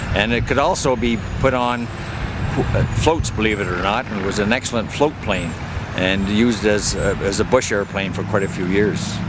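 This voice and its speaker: With a Canadian accent and a fairly low pitch, a man talks amid noticeable background noise and audible room echo. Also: ordinary pitch variation, moderate pace. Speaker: retired air force pilot. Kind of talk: guided aircraft tour. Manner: halting, many fillers.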